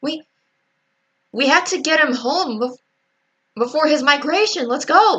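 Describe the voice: A cartoonish character voice with high pitch, moderate pace and long, frequent pauses.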